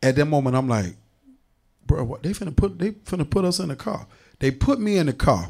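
With vocal fry and a fairly high pitch, a man speaks at a fairly quick pace, his pitch swinging very widely between long, frequent pauses. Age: 30s. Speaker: podcast co-host. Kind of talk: casual chat.

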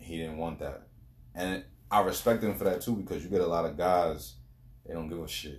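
Very deep and low in pitch, a man speaks with ordinary pitch variation. His loudness swings widely, and he leaves long, frequent pauses. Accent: American. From New York, Queens and Long Island. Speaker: podcast guest. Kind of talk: casual chat. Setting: in person.

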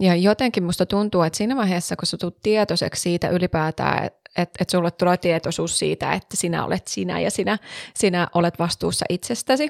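A woman with an ordinary speaking voice talks at a fairly low pitch and a fairly quick pace, with ordinary pitch variation. The recording is very clean with a silent background, and its sound is dry and close with no echo. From Savo, Finland. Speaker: podcast co-host. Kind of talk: casual chat. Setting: studio.

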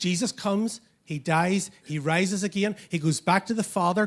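This man's voice has a high pitch. It shows ordinary pitch variation. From Northern Ireland. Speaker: pastor. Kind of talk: sermon. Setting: church.

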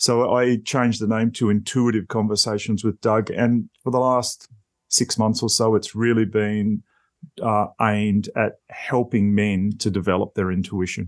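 With an Australian accent, a man speaks in a flat monotone at a fairly low pitch and a fairly slow pace, his loudness very even against a quiet background. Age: 50s. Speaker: podcaster. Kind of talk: casual chat.

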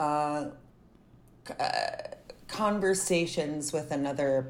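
A woman's very deep, low voice in an American accent, with ordinary pitch variation, audible room echo and noticeable background noise. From US South. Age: 30s. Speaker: actor and filmmaker. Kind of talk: casual chat. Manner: animated.

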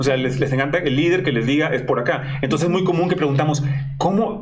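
Very fast speech in a Mexican accent with very even loudness, audible room echo and noticeable background noise. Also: man. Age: 40s. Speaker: online show host. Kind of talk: casual interview.

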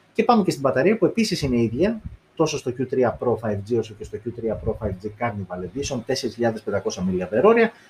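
A somewhat breathy man's voice at medium pitch, with very wide pitch swings and a fairly slow pace. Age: 30s. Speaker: tech YouTuber. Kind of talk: tech review live stream. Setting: live stream on video. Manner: casual, many fillers.

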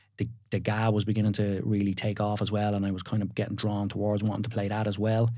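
Speaking very fast in a Dublin accent, a man with fairly low pitch keeps a monotone, flat intonation and very even loudness. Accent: Dublin Irish. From Ireland, Dublin area. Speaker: builder and TV presenter. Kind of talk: casual chat. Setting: studio.

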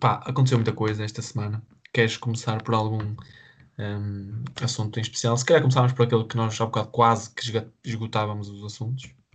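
The speaker sounds somewhat breathy and uses a flat, monotone intonation, leaving long and frequent pauses against a quiet background. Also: man. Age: 20s. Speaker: podcast co-host. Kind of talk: casual chat.

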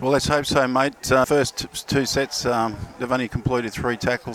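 Over noticeable background noise, a man at medium pitch speaks at a moderate pace with monotone, flat intonation. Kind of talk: co-commentary with expert match analysis. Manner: relaxed, conversational, hesitant with repeated words.

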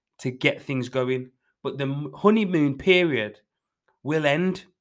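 A man with a plain, everyday voice speaks fairly slowly at a medium pitch with ordinary pitch variation. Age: 20s. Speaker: fitness coach podcast host. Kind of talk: motivational solo talk.

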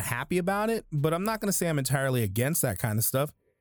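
A man with an American accent has an ordinary speaking voice, fairly high in pitch with lively intonation. The recording is very clean, with a silent background. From United States. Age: 30s. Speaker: podcaster. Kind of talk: angry rant, profanity-laden political monologue about civil unrest and police killings. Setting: home recording, solo. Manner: casual, rambling, ad-libbed; heated, indignant, sarcastic, cursing.

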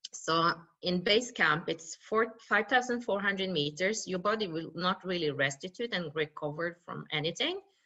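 Speaking at a fairly slow pace with a Norwegian accent, a woman has a fairly low pitch, a bright, sharp tone and ordinary pitch variation. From western Norway. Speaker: mountaineer and speaker. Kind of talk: interview. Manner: halting.

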